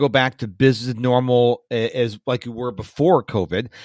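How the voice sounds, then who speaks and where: An ordinary speaking voice moves at a moderate pace in a dry, close sound with no echo. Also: man. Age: 50s. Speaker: podcast host. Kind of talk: interview.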